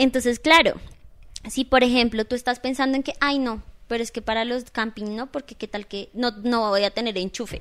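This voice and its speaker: On a very clean recording with a silent background, the speech keeps fairly even intonation. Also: woman, high pitch for a woman, moderate pace. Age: 30s. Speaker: dance studio owner. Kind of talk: casual interview.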